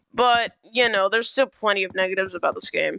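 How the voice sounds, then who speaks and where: A woman speaks loudly. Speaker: gaming youtuber. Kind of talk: game review commentary. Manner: halting, many fillers.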